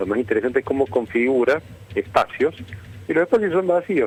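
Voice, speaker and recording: In a Córdoba Argentine accent, a man talks with lively intonation, the sound dry and close with no echo. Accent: Cordoba Argentine Spanish. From Argentina, Córdoba. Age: 60s. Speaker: architect and lecturer. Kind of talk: radio interview. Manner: halting, with many fillers and restarts.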